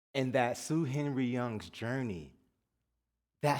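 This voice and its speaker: Over audible room echo, a man with a medium pitch speaks at a moderate pace in an animated tone, with ordinary pitch variation. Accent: American. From US South (Atlanta) and New Jersey. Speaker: guest minister. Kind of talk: sermon. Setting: church service with congregation. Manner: animated, call-and-response.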